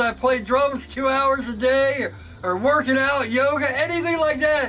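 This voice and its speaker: Over noticeable background noise, a man with an extremely high pitch uses a raised, projected voice at a moderate pace, with ordinary pitch variation. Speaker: knifemaker. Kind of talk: casual chat. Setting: workshop. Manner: loud; animated.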